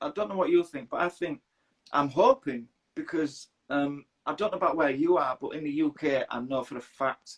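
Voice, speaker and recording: A man with a Yorkshire accent talks at a moderate pace in a fairly high voice. His pitch varies in an ordinary way, and the sound is dry and close with no echo. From northern England, Leeds, Yorkshire. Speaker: interviewer. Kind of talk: casual interview chat. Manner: halting, repeats words.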